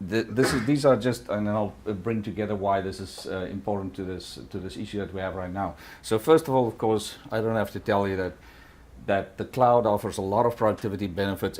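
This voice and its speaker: With a non-native accent, the words come at a fairly quick pace. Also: man. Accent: noticeable foreign. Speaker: tech company executive. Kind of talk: conference talk. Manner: halting, many fillers.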